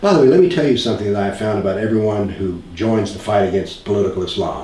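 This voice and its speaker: A man with a fairly low pitch and an American accent, very fast delivery, ordinary pitch variation, audible room echo and noticeable background noise. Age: 70s. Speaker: author and former physics professor. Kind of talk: interview.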